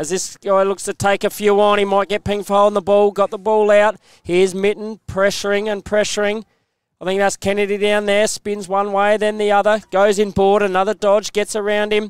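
An excited man talks at a fairly quick pace, his pitch high. The recording is very clean and dry, close-miked with no echo and a silent background. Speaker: football commentator. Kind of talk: live sports commentary. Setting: commentary box. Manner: fast, excited play-by-play.

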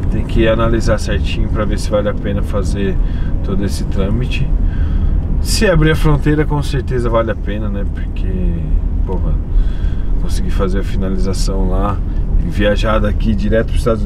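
A man speaks fairly quickly. Noticeable noise sits in the background. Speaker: vlogger. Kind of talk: casual vlog chat. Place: car. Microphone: camera far.

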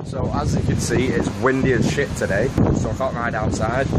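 A man speaks at a moderate pace with ordinary pitch variation over loud background noise. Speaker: BMX rider vlogger. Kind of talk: casual vlog chat. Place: garden. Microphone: phone near.

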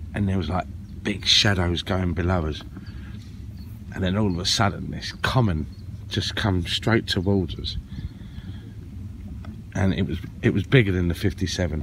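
A man's very deep, low voice at a moderate pace with ordinary pitch variation, dry with no echo, over light background noise. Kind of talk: casual vlog chat. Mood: excited, storytelling. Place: boat. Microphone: phone near.

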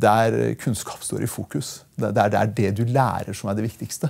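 A man's voice carries vocal fry and a dark, mellow tone. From Norway, Porsgrunn (Telemark), from Iran at 8; Norway. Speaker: politician, member of parliament; podcast guest, politician. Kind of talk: interview. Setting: studio. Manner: halting, repeats words. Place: studio. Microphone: lapel.

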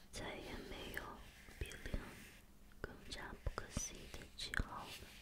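Someone whispers in a gentle tone. The pace is very slow. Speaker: reader. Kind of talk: quiet ASMR book reading. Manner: quiet, gentle, soft-spoken.

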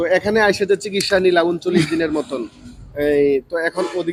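The man has a high pitch. His intonation stays fairly even. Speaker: paralysis treatment centre presenter. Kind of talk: patient interviews on video.

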